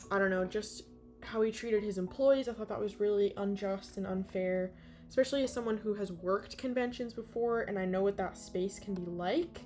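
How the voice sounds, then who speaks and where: With music in the background, a woman with an American accent speaks at a medium pitch and a fairly quick pace, her pitch varying in an ordinary way. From US Northeast. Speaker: digital artist streamer. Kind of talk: casual livestream chat while drawing. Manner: casual, rambling with fillers.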